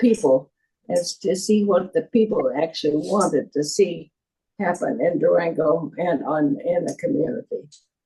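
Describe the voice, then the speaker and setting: A woman's fairly low, dark, mellow voice, somewhat breathy, with lively intonation at a moderate pace. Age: 80s+. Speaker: former mayor. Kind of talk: interview answer.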